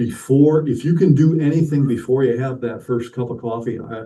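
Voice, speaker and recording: A man with a dark, mellow, somewhat breathy voice speaks at a moderate pace. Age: 60s. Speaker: model railroad clinic presenter. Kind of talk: hobby workshop presentation. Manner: halting, repeats words.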